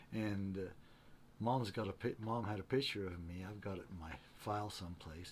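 A man with an American accent speaks at a moderate pace in a fairly low pitch. His voice is somewhat breathy, with ordinary pitch variation. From central Utah. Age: 70s. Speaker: retired mule and horse outfitter. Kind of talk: casual interview. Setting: workshop.

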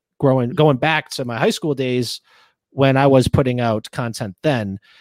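In a very clean recording with a silent background and a dry, close sound with no echo, a man with a normal speaking voice talks at a moderate pace, medium pitch and ordinary pitch variation. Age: 20s. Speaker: podcast host. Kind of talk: casual chat.

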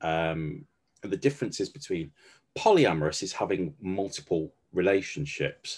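This is a man speaking. He has a slight West Midlands accent. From Stafford, West Midlands England. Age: 40s. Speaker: coach. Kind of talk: casual chat, personal storytelling.

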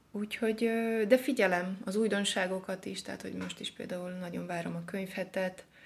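A woman talks at a fairly quick pace, somewhat breathy, with fairly even intonation. Her loudness swings a lot. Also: medium pitch for a woman. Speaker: poet and literature therapist. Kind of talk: casual interview. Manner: halting, with fillers.

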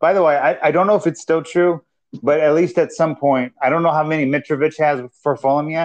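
A man with a normal speaking voice, fairly high in pitch and fairly quick, over a quiet background. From Minnesota, US. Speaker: football podcast co-host. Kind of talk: casual chat.

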